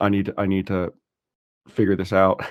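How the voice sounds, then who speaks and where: A man speaks with a Texas accent. His very deep, low voice moves at a fairly quick pace. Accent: non-Irish, American (Texas). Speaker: financial adviser and student. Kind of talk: podcast interview. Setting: podcast.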